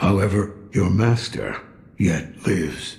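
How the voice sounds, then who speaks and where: In a put-on character voice, a man sounds raspy and fairly low-pitched. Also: fairly slow pace. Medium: video game. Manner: gruff, dry, chuckling.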